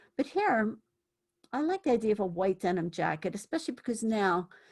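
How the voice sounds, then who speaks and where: A woman's somewhat breathy, medium-pitched voice with lively intonation at a fairly quick pace, on a very clean recording with a silent background. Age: 60s. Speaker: thrift fashion vlogger. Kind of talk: casual vlog chat.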